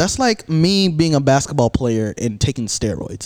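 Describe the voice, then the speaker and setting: Recorded with a dry, close sound and no echo, a man speaks in an energetic tone. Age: young. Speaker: podcast host and college radio DJ. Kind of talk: casual chat.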